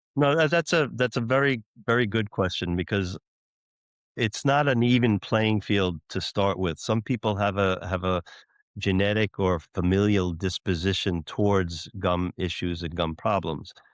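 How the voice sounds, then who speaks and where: A man's fairly low voice at a moderate pace, lively in intonation, in a dry, close sound with no echo. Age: 60s. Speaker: dentist and dental school professor. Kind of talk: interview. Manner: halting, repeats words.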